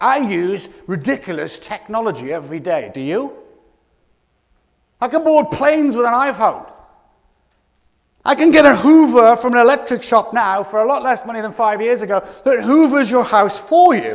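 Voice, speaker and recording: With a British accent, a man speaks high for a man in an animated tone, with very wide pitch swings and big swings in loudness. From Scotland. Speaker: keynote speaker. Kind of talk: motivational keynote talk. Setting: stage with audience. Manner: fast.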